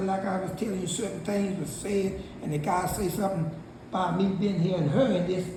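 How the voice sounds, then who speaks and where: A woman's medium-pitched voice with ordinary pitch variation at a moderate pace, with audible room echo and noticeable background noise. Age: 60s. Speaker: Bible study participant. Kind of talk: casual chat. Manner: halting.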